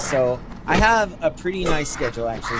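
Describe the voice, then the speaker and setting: A man with an American accent speaks in a relaxed tone. Audible room echo and noticeable background noise are present. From Northern California (Humboldt County). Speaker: gaming streamer, nurse. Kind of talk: casual livestream chat while gaming. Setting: livestream. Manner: relaxed, with many fillers; not loud.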